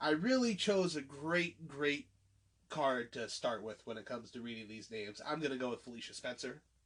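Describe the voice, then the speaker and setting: A man is speaking. His voice sits fairly high in pitch. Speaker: MMA podcaster. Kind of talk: casual podcast talk.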